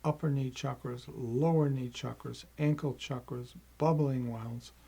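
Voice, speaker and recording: A man's medium-pitched, dark, mellow, somewhat breathy voice, monotone and flat, at a fairly slow pace. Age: 70s. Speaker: meditation teacher. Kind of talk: tutorial. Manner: halting.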